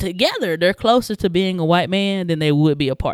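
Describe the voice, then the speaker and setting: Her voice medium in pitch and animated in tone, a woman talks at a fairly quick pace in a dry, close sound with no echo. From US South, Atlanta, Georgia. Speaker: podcast host. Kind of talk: casual chat.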